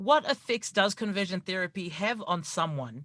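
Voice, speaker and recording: In a dry, close sound with no echo, a man uses a raised, projected voice with lively intonation at a moderate pace. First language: not English. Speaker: radio host. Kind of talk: radio interview.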